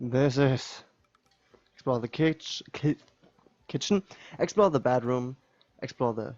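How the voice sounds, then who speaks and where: Speaking fairly slowly with a German accent, a man uses a medium pitch and ordinary pitch variation. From Germany. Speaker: gaming YouTuber. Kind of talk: let's play commentary. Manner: halting, many fillers.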